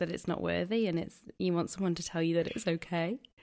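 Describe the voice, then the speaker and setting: A woman's unremarkable speaking voice, fairly quick in pace, with fairly even intonation. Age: 30s. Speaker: podcast host. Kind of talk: casual chat.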